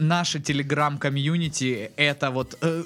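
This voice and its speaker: Noticeable background noise accompanies a man whose pitch is fairly high. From Kuban, southern Russia. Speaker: podcast co-host. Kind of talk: casual chat.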